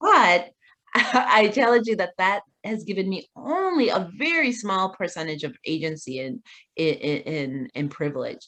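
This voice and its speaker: Fairly slow speech with very wide pitch swings, in an American accent. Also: woman. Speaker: community advocate. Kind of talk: interview. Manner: animated.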